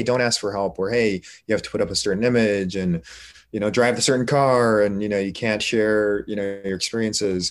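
With an American accent, a man talks in an ordinary speaking voice, his pitch fairly low with ordinary variation, against a quiet background. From Korea, raised in the United States. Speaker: emergency physician. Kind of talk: interview.

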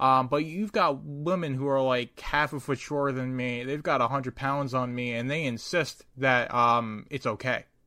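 Over a silent background in a very clean recording, a man with medium pitch and a bright, sharp tone talks at a moderate pace with ordinary pitch variation. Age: 20s. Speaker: podcast host and novelist. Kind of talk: casual chat. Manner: halting, many fillers.

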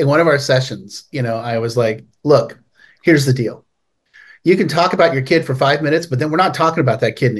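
Somewhat breathy and fairly high-pitched, a man speaks at a fairly quick pace with ordinary pitch variation and long, frequent pauses. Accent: American. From California (Palo Alto). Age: 50s. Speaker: addiction recovery author and founder. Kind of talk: interview.

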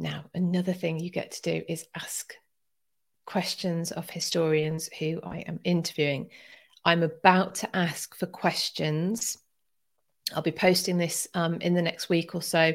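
A woman talks in a fairly low pitch with an English accent and monotone, flat intonation. Her loudness swings a lot on a very clean recording with a silent background. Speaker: history podcast host. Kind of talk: live stream chat. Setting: live stream at home.

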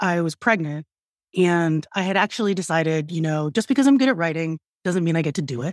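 Through a dry, close sound with no echo and a very clean recording with a silent background, a woman with an unremarkable speaking voice and an American accent talks at a moderate pace with lively intonation. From US, rural central Pennsylvania. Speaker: author. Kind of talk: interview conversation.

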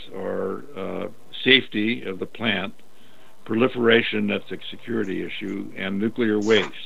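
A man's fairly low voice with vocal fry, at a fairly slow pace. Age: 80s. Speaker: veteran lawyer. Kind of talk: interview. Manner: halting.

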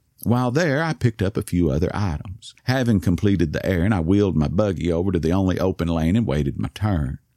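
Over a very clean recording with a silent background, a man with a Southern US accent races at a very fast pace with hardly any pauses, lively intonation and a dark, mellow tone. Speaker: storyteller with Parkinson's. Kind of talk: scripted personal narration. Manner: soft-spoken, slurring.

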